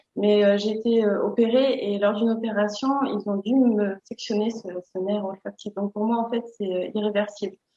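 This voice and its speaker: This woman talks at a fairly slow pace in a fairly high pitch. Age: 40s. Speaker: person living with anosmia. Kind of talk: testimony. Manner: hesitant, with fillers and repetitions.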